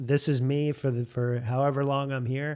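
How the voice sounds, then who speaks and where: A man with an American accent and a normal speaking voice talks at a moderate pace, medium pitch and fairly even intonation on a very clean recording with a silent background. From Florida, US (St. Petersburg). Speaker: YouTuber and cinematographer. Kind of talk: casual interview chat.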